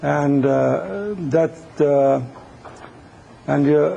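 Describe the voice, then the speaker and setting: A man's fairly high-pitched voice with ordinary pitch variation, over noticeable background noise. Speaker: engineering instructor. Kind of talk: lecture. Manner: hesitant, many fillers.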